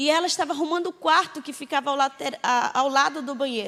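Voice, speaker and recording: This woman's voice sits high in pitch, with ordinary variation. She speaks at a fairly quick pace. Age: 20s. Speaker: missionary. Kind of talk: testimony.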